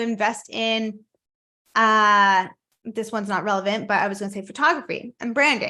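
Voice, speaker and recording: Fairly high in pitch, a woman's voice has a bright, sharp tone. The background is quiet. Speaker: business coach. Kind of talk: online coaching talk.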